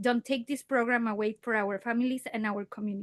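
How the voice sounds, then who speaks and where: The speaker has a Spanish accent, and the sound is dry and close with no echo. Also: woman. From Mexico. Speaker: parent speaking at public comment. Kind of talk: public comment at board meeting. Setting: school board meeting.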